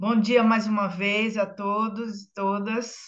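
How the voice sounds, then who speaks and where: A woman's medium-pitched voice, very slow and monotone with flat intonation. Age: 60s. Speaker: clinical psychologist. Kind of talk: panel self-introduction.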